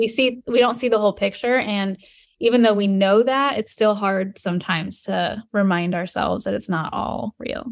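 A woman at moderate pace in a normal speaking voice, medium pitch, ordinary pitch variation. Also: very clean recording, silent background. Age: 30s. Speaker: social selling coach. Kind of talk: casual chat.

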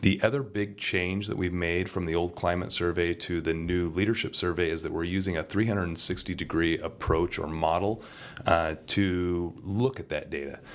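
A man's very deep, low voice at a moderate pace, fairly even in intonation, with hardly any pauses. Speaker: school district deputy superintendent. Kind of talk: interview.

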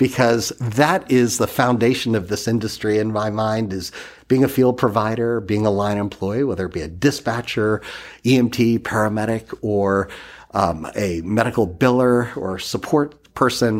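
In a very clean recording with a silent background, a man speaks in a normal speaking voice at medium pitch and moderate pace, with ordinary pitch variation. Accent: American. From Massachusetts. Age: 50s. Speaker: ambulance company executive. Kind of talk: interview.

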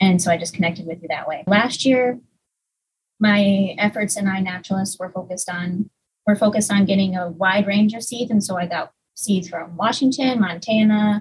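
The voice is somewhat breathy with ordinary pitch variation. It moves at a moderate pace. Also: woman, medium pitch for a woman. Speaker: research technician. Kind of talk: interview.

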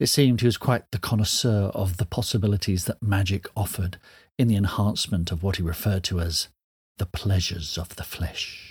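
Somewhat breathy and fairly low, a man's voice carries a dramatic tone at a fairly quick pace with ordinary pitch variation, on a very clean recording with a silent background. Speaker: author reading a story. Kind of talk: dramatic narration, reading aloud. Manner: dramatic, expressive, measured storytelling pace.

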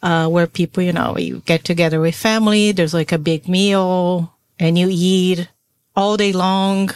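Speaking with a Portuguese accent, a woman keeps a fairly low pitch, a moderate pace, and monotone, flat intonation. Her loudness stays very even, and the sound is dry and close with no echo. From Brazil. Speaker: podcast co-host. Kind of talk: casual chat.

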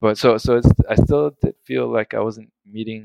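The man speaks with an American accent at a fairly slow pace, his sound dry and close with no echo. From South Florida. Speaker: engineer. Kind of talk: reflective interview.

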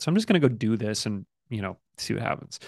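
A man with an American accent and a medium pitch speaks very fast. The sound is dry and close with no echo, over a quiet background. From Michigan. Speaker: actor. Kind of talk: casual chat. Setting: video call.

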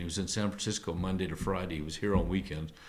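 A man with fairly low pitch and fairly even intonation, an ordinary speaking voice. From part Canadian. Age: 60s. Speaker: winemaker. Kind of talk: casual chat. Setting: tasting room.

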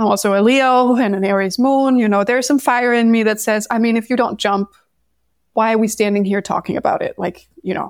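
The speaker talks at a fairly quick pace with a Danish accent and fairly even intonation. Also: woman, fairly high pitch for a woman. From Denmark. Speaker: numerologist. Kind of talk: interview.

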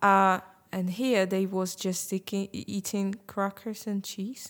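A woman speaks at a very slow pace in a Russian accent. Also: very clean recording, silent background. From Ukraine, Crimea. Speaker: Ukrainian refugee. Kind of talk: casual group conversation.

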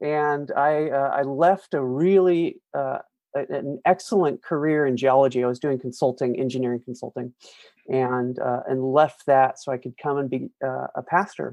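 Using a plain, everyday voice, a man talks at a moderate pace with a fairly high pitch and fairly even intonation. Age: 50s. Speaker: pastor and author. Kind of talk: interview.

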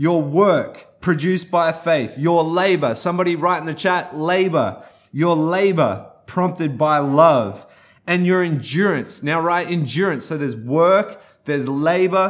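A man with an Australian accent speaks at a fairly slow pace in a fairly high voice. His tone is animated, and his pitch varies in an ordinary way. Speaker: guest pastor. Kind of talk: sermon. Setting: recorded for online church stream.

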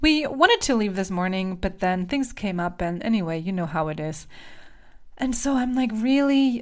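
A woman speaks with a German accent at a medium pitch. Her pitch swings very widely. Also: moderate pace. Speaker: podcast host and voice coach. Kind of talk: solo podcast monologue. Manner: animated.

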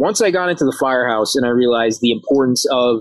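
The speaker has a New York accent and a moderate pace. The sound is dry and close, with no echo. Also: man. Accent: New York area American. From Harrison, New York (US). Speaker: firefighter and chef. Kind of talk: interview, casual chat. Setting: outdoors in backyard.

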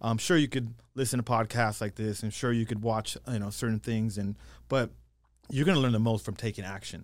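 On a very clean recording with a silent background, a man talks at a fairly quick pace and medium pitch. He has fairly even intonation and a plain, everyday voice. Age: 40s. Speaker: real estate investor and coach. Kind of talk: casual interview chat.

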